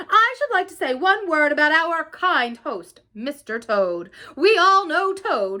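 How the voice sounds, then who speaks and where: This squeaky, put-on character voice moves at a fairly slow pace with very wide pitch swings. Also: woman, extremely high pitch for a woman. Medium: read story.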